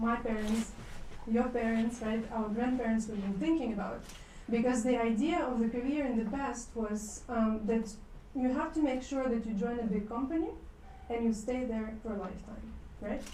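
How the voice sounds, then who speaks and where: Audible room echo carries a woman's voice as she talks at a moderate pace. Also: fairly high pitch for a woman, fairly even intonation. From Ukraine. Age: 30s. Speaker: business school international development director. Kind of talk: lecture. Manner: casual, many fillers.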